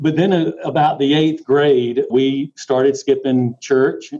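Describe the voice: With a dark, mellow tone, a man speaks at a slow pace and with fairly even intonation. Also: medium pitch for a man.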